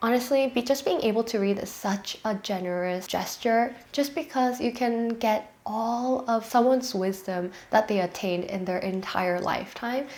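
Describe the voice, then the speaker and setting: In a Korean accent, a woman speaks at a fairly slow pace with a fairly high pitch and ordinary pitch variation, against noticeable background noise. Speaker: lifestyle vlogger. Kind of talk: vlog monologue.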